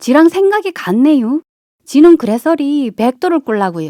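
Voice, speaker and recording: In a Chungcheong accent, the speaker's dark, mellow tone sweeps through very wide pitch swings, with a dry, close sound and no echo. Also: woman. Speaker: amateur voice actor, local native. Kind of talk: children's fairy tale reading. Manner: relaxed, unhurried.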